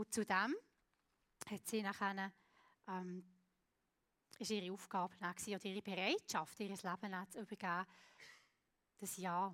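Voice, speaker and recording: A woman's medium-pitched, monotone, flat delivery with long, frequent pauses, in a dry, close sound with no echo. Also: moderate pace. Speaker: preacher. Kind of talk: sermon. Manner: halting.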